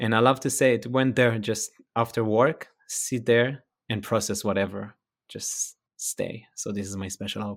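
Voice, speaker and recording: A man of medium pitch with an Israeli accent. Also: moderate pace. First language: Hebrew. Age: 30s. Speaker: actor and former triathlete. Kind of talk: casual interview. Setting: video call. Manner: animated.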